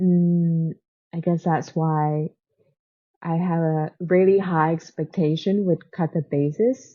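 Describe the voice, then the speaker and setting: Very slow delivery with fairly even intonation and a non-native accent. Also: woman, fairly low pitch for a woman. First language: not English. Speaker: booktuber. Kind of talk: casual book review vlog. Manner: halting, many fillers; says 'like' very often.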